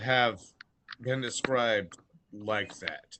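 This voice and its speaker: Using a put-on character voice, a man speaks at a medium pitch with fairly even intonation. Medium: actual play.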